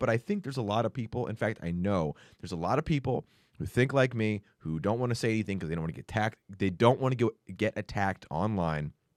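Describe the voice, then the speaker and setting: A man mumbles at a very fast pace in a put-on character voice with fairly low pitch. The recording is very clean with a silent background. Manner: fast, mumbling.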